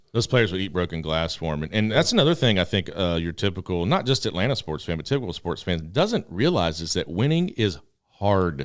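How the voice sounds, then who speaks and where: The speaker sounds animated, with lively intonation and a fairly quick pace, on a very clean recording with a silent background. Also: man, very deep, low pitch for a man. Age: 40s. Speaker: sports podcast host. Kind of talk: casual chat.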